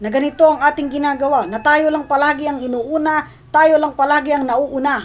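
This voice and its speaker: A high-pitched woman's voice at a moderate pace. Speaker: pastor. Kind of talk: sermon. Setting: livestream. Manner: formal.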